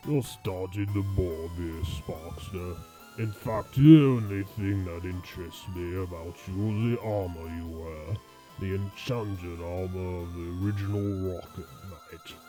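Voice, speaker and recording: Over clear background music, a man uses a put-on character voice, very deep and low, at a fairly slow pace. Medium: audio drama. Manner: smug, condescending.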